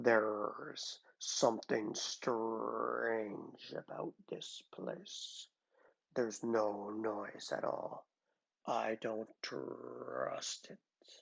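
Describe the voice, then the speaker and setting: Growling and gruff, a man puts on a character voice at a medium pitch and speaks at a very slow pace. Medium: read story. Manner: gruff, terse.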